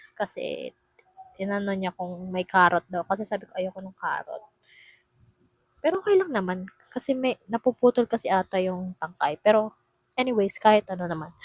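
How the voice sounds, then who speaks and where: Soft-spoken at a moderate pace, the voice makes big swings in loudness, with a dry, close sound and no echo. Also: woman, medium pitch for a woman, ordinary pitch variation. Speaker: vlogger. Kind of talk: casual vlog unboxing. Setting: dorm room. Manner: animated.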